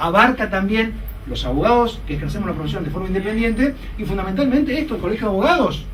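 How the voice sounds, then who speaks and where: Over noticeable background noise and audible room echo, a man talks at a very fast pace with high pitch. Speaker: lawyer lecturer. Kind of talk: lecture. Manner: animated.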